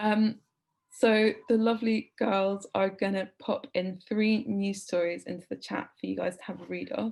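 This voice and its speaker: With a British accent, a woman talks at a moderate pace using fairly even intonation. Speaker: editor leading a journalism workshop. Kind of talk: online workshop presentation. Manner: casual with many fillers.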